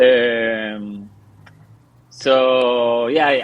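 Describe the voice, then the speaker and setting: In a Spanish accent, a man speaks at medium pitch with monotone, flat intonation. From Argentina. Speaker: comic book artist and writer. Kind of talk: interview. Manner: halting, many fillers and restarts.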